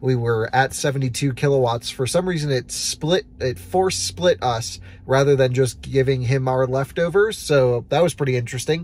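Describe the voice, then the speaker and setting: Somewhat breathy speech at a moderate pace with hardly any pauses, dry with no echo. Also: man. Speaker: road trip vlogger. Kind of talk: casual vlog chat. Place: car. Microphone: phone near.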